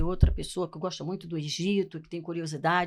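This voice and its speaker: This is a woman's voice. The recording is very clean, and the background is silent. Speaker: TV talk show host. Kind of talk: TV interview.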